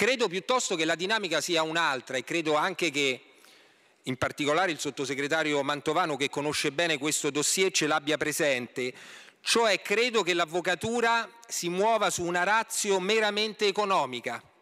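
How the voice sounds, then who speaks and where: A man's high, bright and sharp voice, lively in intonation, at a moderate pace against a quiet background. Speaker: opposition member of parliament. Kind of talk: parliamentary reply, formal oratory. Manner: critical, indignant, formal. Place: hall. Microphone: podium.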